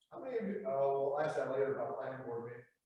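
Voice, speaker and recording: Lively intonation marks this man's very fast delivery, with audible room echo around him. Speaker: planning consultant. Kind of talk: conference presentation. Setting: conference room with live audience, no microphone. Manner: loud.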